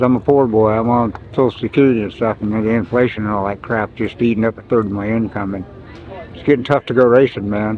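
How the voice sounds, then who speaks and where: A man with an American accent talks at a very fast pace. There is noticeable background noise. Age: 70s. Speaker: amateur flat track racer and war veteran. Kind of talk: casual interview. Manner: casual, animated.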